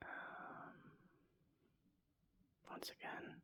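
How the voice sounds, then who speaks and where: Very slow whispering. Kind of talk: ASMR card collecting talk. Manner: whispered.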